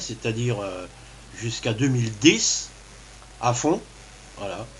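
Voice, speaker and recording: The pace is fairly slow. Background noise is noticeable throughout. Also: man. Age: 60s. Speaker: kidney transplant patient. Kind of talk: testimony. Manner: halting.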